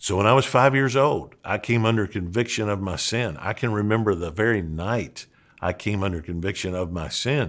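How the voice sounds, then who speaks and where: A man with an ordinary speaking voice talks at a moderate pace in a fairly low pitch, with ordinary pitch variation. The recording is very clean, its background silent. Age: 60s. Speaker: pastor and seminary dean. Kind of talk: podcast monologue teaching.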